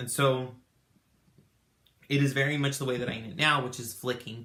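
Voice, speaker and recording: A man at a medium pitch and fairly quick pace, with audible room echo. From Tucson, Arizona. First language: Spanish. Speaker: knitting podcaster. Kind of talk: casual chat. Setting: home craft room. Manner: halting, many fillers.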